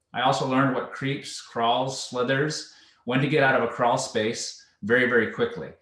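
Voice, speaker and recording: With a Canadian accent, a man talks at a fairly quick pace and medium pitch, using lively intonation amid audible room echo. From Canada, Vancouver Island, British Columbia. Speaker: home warranty account executive. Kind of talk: presentation. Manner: casual.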